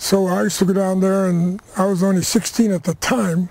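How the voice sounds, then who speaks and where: A man's high-pitched voice with an American accent, a moderate pace, and noticeable background noise. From Crockett, California, US. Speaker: rancher and war veteran. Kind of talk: oral history interview.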